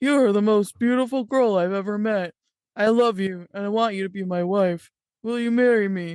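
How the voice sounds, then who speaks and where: A woman speaks in a put-on character voice at a medium pitch. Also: moderate pace, ordinary pitch variation. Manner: earnest, romantic.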